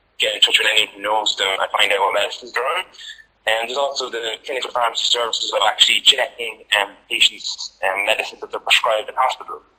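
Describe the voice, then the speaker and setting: A man with an Irish accent, talking at a very fast pace. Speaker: clinical pharmacist. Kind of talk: lecture.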